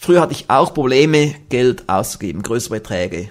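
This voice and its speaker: A man's normal speaking voice at a medium pitch, with lively intonation and a moderate pace, on a very clean recording with a silent background. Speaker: podcast host and success seminar trainer. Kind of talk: scripted podcast monologue. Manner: formal. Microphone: good microphone with pop filter.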